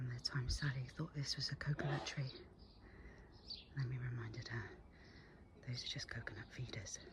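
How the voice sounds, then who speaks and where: A whisper at a fairly quick pace, broken by long, frequent pauses. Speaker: gardening vlogger. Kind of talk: casual garden tour. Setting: outdoors in garden. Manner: whispering; animated.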